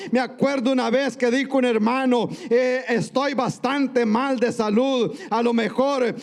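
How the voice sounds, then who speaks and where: This man's voice is extremely high in pitch, with fairly even intonation and a fairly slow pace, set against noticeable background noise. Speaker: pastor. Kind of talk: sermon. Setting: church.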